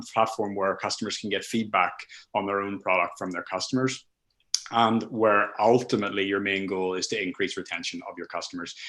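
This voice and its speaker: A man with a Northern Irish accent at a fairly quick pace, against a quiet background. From Northern Ireland. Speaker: content marketer. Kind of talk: webinar presentation. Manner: halting, many fillers and restarts.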